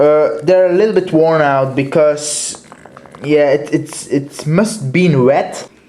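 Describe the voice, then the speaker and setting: A man talks at a very slow pace in a fairly high pitch with ordinary pitch variation. There is noticeable background noise. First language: Dutch. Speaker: toy collector reviewer. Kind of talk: product review. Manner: halting, many fillers.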